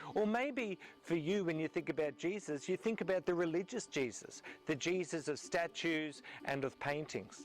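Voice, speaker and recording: Music plays behind a man who speaks at a moderate pace with an Australian accent. His pitch is high, his intonation lively and his loudness very even. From Australia, Melbourne. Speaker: pastor. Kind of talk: video series presentation on faith.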